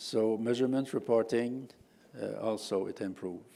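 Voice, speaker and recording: A man with a Quebec accent talks at a medium pitch with ordinary pitch variation and a dark, mellow tone. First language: French. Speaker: professor. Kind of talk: conference talk. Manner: halting, many fillers.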